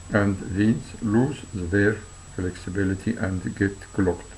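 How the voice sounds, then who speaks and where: A man with a non-native accent speaks at a fairly slow pace. His pitch is fairly low and his intonation fairly even. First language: not English. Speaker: health video narrator. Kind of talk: reading aloud. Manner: halting.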